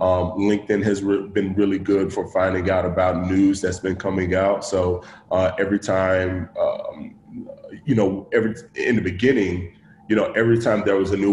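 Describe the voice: Audible room echo surrounds a man's low-pitched voice, which has a slightly mellow tone and a fairly quick pace.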